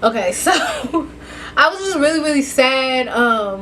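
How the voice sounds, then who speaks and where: Background noise is noticeable throughout. The pace of the speech is moderate. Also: woman. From Kentucky, US South. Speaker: vlogger. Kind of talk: casual vlog monologue.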